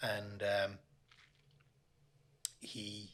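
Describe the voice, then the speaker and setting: A man with a Limerick accent speaks over noticeable background noise. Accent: Irish, Limerick. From Limerick, Ireland. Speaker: author, recovering gambling addict. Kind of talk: interview answer.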